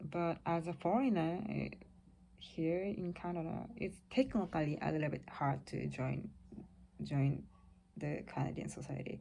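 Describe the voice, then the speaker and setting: A woman speaks with a Japanese accent. Her pace is fairly slow. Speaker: vlogger. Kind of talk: casual monologue. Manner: halting.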